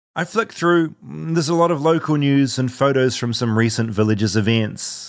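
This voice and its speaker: Recorded very cleanly over a silent background, a man speaks in a New Zealand accent. His pitch is medium, his pace moderate and his intonation lively. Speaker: podcast host and storyteller. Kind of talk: scripted narration with interview clips.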